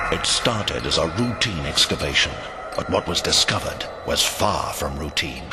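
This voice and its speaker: Moderate-paced male speech amid noticeable background noise. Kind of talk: TV commercial read.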